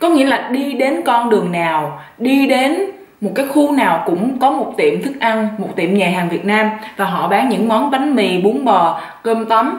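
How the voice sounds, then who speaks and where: A woman with a fairly high pitch speaks at a fairly slow pace, her intonation lively. Audible room echo and noticeable background noise are present. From southern Vietnam. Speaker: YouTuber. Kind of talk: mukbang vlog, casual chat. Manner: relaxed, eating while talking.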